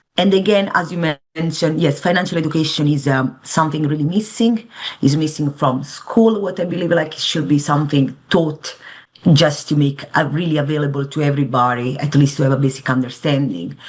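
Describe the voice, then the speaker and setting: A woman's very deep, low voice in an Italian accent, with ordinary pitch variation. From Italy. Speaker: financial advisor. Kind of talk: interview.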